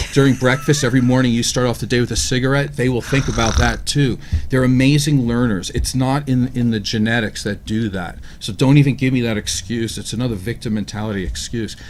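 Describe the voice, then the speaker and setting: Over noticeable background noise, a man speaks at a fairly quick pace. His pitch is medium, with ordinary variation. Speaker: radio show co-host. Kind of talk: radio talk discussion. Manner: fast.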